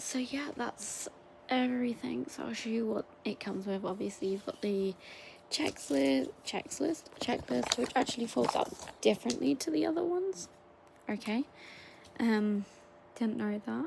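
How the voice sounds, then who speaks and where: A quiet woman speaks at a moderate pace with very wide pitch swings and long, frequent pauses, over noticeable background noise. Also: fairly high pitch for a woman. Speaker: toy unboxing YouTuber. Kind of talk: casual unboxing video. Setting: at home at night. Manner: quiet, hushed.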